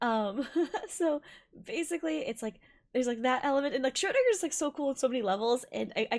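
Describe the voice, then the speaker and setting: Lively intonation and an animated tone carry the speech at a very fast pace. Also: woman, high pitch for a woman. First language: not English. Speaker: VTuber reaction streamer. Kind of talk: live reaction commentary.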